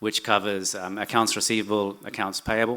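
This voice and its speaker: Over a silent background in a very clean recording, a man with a New Zealand accent speaks in a bright, sharp, monotone voice with flat intonation. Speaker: corporate finance executive. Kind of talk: conference presentation. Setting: stage with audience. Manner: hesitant, many fillers.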